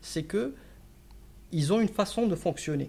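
This man speaks with a high pitch. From Morocco. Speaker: strategy consultant. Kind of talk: casual interview. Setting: office. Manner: halting, many repetitions.

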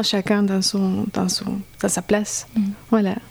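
A woman's fairly high voice at a fairly slow pace with monotone, flat intonation. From Colombia. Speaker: singer and violist. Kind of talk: interview.

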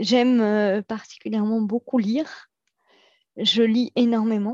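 The sound is dry and close with no echo as a woman with a fairly high pitch speaks in fairly even intonation. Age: 40s. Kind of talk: interview testimony. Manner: hesitant, many fillers.

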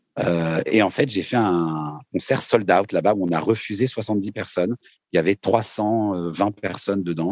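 An ordinary speaking voice from a man, fairly low in pitch with ordinary pitch variation, at a fairly slow pace, dry and close with no echo. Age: 40s. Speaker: singer-songwriter. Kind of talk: casual interview.

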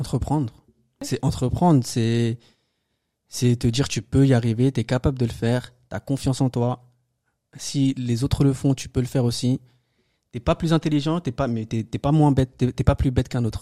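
A man with a medium-pitched voice and a dark, mellow tone speaks at a moderate pace with fairly even intonation and long, frequent pauses, in a dry, close sound with no echo on a very clean recording with a silent background. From France, Paris suburbs (banlieue). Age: 20s. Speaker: entrepreneur. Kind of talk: casual chat.

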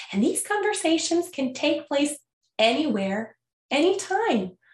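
Speaking with a Quebec accent, a woman uses a high pitch and very wide pitch swings. Her pace is fairly slow. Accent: Canadian French-accented English. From Canada. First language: French. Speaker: podcast host and language school founder. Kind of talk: scripted educational podcast talk.

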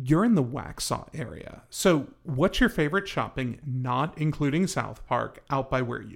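A man with a normal speaking voice and a fairly high pitch talks at a fairly slow pace with hardly any pauses, lively intonation and big swings in loudness. The recording is very clean, with a silent background. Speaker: real estate agent and podcast host. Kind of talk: casual chat.

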